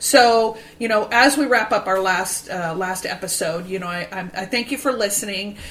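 A fairly slow delivery with noticeable background noise behind it. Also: woman. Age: 50s. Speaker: podcast host and vintage store owner. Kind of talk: casual chat.

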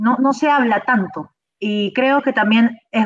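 Here is a woman with an unremarkable speaking voice, fairly high in pitch and showing ordinary pitch variation. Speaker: motivational speaker and coach. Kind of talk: interview.

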